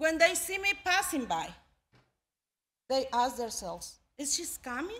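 Raising and projecting her voice, a woman speaks at a very slow pace in a bright, sharp tone with very wide pitch swings. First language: not English. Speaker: immigrant storyteller. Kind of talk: live storytelling performance, spoken word. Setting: live audience. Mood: earnest, emotional. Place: stage. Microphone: podium.

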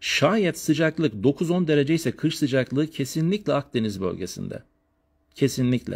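Over a quiet background, a man with a fairly high pitch talks in an animated tone, his pitch swinging very widely. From Turkey, Elazığ; Turkey. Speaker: geography teacher. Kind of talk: lecture. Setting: live stream from family home. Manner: fast. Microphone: phone near.

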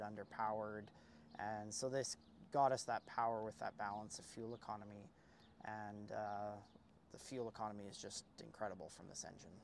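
A plain, everyday voice from a man, fairly low in pitch, at a moderate pace, with dry sound with no echo and light background noise. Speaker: guest. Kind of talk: interview answer. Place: street. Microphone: lapel.

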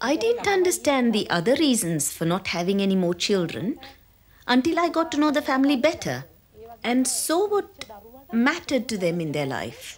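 Moving at a moderate pace, a woman uses big pitch swings in a fairly high voice.

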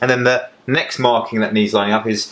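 The speaker is a man. He talks at a fairly quick pace. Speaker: presenter. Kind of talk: tutorial. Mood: relaxed, joking. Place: workshop.

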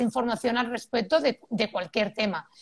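The speaker is a woman. Behind her, things are quiet. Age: 40s. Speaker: parenting expert; guest. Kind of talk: expert interview. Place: home room. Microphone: video call.

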